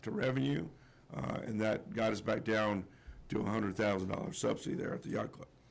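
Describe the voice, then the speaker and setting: This voice has an American accent and vocal fry. Its pitch swings very widely. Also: man. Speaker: general manager presenting budget. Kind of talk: budget presentation at public hearing. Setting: public meeting room with audience. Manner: hesitant, many fillers.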